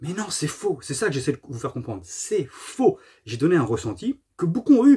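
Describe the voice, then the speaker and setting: Vocal fry marks a man's fairly high voice, with very wide pitch swings and big swings in loudness. The background is quiet. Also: moderate pace. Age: 40s. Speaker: gaming YouTuber. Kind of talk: casual monologue to camera. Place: home room. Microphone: phone near.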